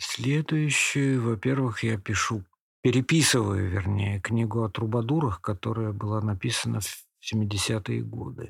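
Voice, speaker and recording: In a very clean recording with a silent background, a man with a fairly low pitch talks at a fairly slow pace, somewhat breathy, with ordinary pitch variation. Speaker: poet and literary historian. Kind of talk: interview.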